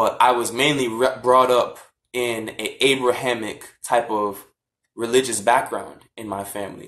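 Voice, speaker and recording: At a fairly slow pace, a man with an ordinary speaking voice and medium pitch keeps fairly even intonation while his loudness swings widely. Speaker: vlogger on african spirituality. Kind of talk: casual talk from a live stream. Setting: social media live video.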